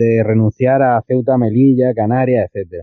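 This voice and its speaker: At a fairly slow pace, a man talks in an ordinary speaking voice with fairly even intonation. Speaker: listener sending voice message. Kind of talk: recorded voice message.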